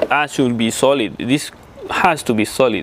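Light background noise sits behind the voice. A man talks at a fairly slow pace. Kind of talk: tutorial. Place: garage. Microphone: lapel.

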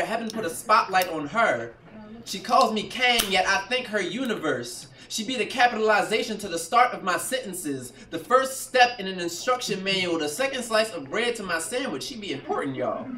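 A man's raised, projected voice, with audible room echo and light background noise. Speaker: spoken-word poet. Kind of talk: spoken-word poetry performance. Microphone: camera far.

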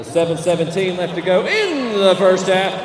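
A man talks in a high pitch. Noticeable background noise sits behind him. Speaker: public address announcer. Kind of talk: arena public address game announcement. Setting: PA system in arena. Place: stadium.

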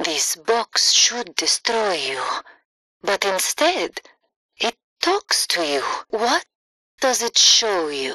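Using a put-on character voice, a woman speaks slowly at a medium pitch with big pitch swings, a bright, sharp tone and a dry, close sound with no echo.

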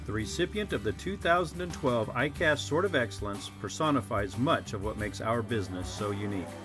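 Over music in the background, a man talks at a fairly quick pace with hardly any pauses, his fairly low pitch swinging very widely. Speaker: voiceover narrator. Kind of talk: awards presentation narration.

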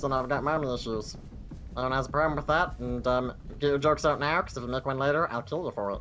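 Over clear background noise, a man at medium pitch rattles along at a very fast pace in a squeaky put-on character voice. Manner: threatening.

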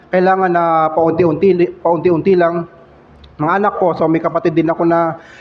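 A man's monotone, flat delivery at very even loudness, with noticeable background noise. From Philippines, Valenzuela City. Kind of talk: testimony. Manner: halting.

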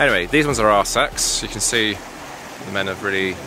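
With music in the background, a man with a very deep, low voice talks at a fairly quick pace in a dry sound with no echo. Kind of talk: casual vlog commentary. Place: forest. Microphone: phone near.

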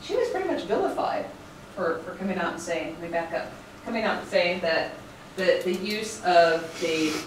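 A woman with a fairly low voice speaks at a moderate pace amid audible room echo and light background noise. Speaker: lecturer. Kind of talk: lecture. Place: classroom. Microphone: camera far.

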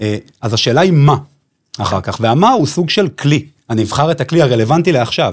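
A man with a fairly high pitch talks at a very fast pace with lively intonation over a quiet background. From Israel, Bnei Brak; Israel. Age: 30s. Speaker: business consultant and event producer; podcast guest, music coach. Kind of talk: podcast interview. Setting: studio. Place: studio. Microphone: studio mic.

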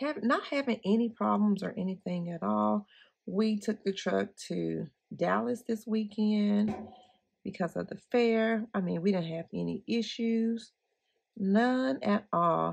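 A woman's fairly slow speech comes through with little sound behind it. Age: 40s. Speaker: planner YouTuber; planner vlogger. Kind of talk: casual tutorial vlog. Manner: chatty, rambling.

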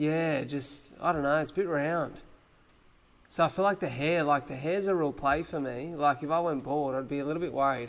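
A fairly high-pitched man with an Australian accent, fairly even intonation and a moderate pace. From Australia (Wollongong, NSW); New South Wales, Australia. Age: 20s. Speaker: podcast host. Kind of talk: casual chat. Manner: fluent. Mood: relaxed, joking. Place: studio. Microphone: studio mic.

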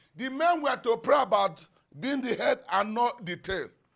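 In a Nigerian accent, a man speaks at an extremely high pitch with lively intonation and an animated tone. The background is quiet. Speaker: pastor. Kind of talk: sermon with fervent prayer and decrees. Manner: fervent, animated, preaching. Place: studio. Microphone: lapel.

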